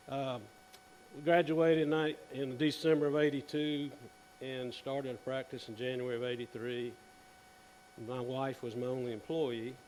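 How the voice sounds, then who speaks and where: Moderate-paced speech with an American accent, fairly even intonation, long, frequent pauses and audible room echo. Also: man, medium pitch for a man. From South Carolina. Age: 60s. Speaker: dentist. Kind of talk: conference presentation. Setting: stage with audience. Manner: casual.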